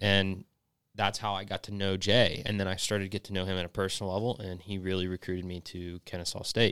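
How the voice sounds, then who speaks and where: A man's very deep, low pitch at a fairly quick pace, dry and close with no echo, in a very clean recording with a silent background. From North Georgia. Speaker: golf instructor. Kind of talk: casual chat.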